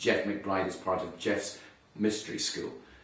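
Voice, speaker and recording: There is audible room echo as a man speaks at a fairly quick pace. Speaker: presenter. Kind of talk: direct-to-camera promotional talk. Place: studio.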